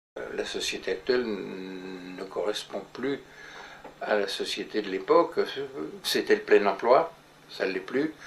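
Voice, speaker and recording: A man at a very slow pace with long, frequent pauses and big swings in loudness. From France, Paris. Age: 80s+. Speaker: urban planner. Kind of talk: interview. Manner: halting.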